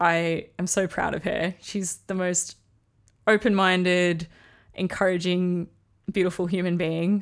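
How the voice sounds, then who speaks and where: A woman with an Australian accent speaks in a medium pitch at a fairly slow pace, with monotone, flat intonation and long, frequent pauses, on a very clean recording with a silent background. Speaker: podcast host. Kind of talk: solo podcast monologue.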